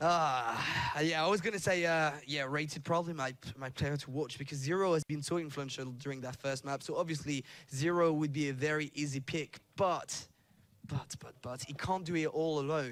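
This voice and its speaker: Fairly high-pitched man in a French accent, at a moderate pace. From France. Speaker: esports commentator. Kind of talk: live commentary.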